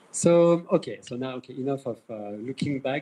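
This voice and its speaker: A man speaks with a French accent. His tone is dark and mellow at a medium pitch. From France. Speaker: event moderator. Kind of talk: event introduction speech. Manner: halting, many fillers and repetitions.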